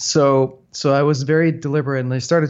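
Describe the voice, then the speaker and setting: Fairly even intonation in a Danish accent. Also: man. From Denmark, north of Copenhagen. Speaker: software entrepreneur. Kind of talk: interview.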